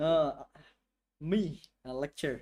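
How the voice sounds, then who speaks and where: A man with a non-native accent talks in a dark, mellow tone with lively intonation. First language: not English. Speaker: game developer streamer. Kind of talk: live coding stream with chat. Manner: halting, many fillers.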